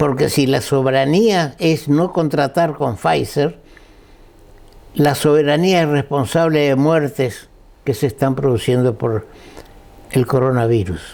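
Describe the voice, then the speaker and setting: Very slowly, with long, frequent pauses, a man speaks in a fairly high pitch. His loudness is very even and his pitch variation ordinary. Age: 80s+. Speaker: lawyer and guest speaker. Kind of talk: talk to an audience. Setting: breakfast event with audience.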